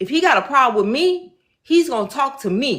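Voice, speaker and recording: The pitch makes very wide swings. The delivery is fairly quick and animated in tone. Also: woman. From Chicago, South Side. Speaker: faith speaker. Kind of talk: personal testimony.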